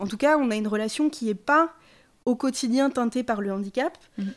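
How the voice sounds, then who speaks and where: Recorded very cleanly against a silent background, a woman speaks in a plain, everyday voice with a fairly high pitch. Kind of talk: casual chat.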